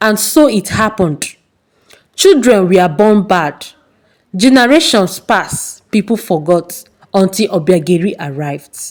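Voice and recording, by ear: A woman's medium-pitched voice at a slow pace, with lively intonation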